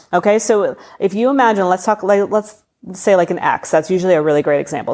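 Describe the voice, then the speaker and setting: A woman speaks at a very fast pace. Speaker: spiritual podcast host. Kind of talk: solo podcast talk. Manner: casual, conversational.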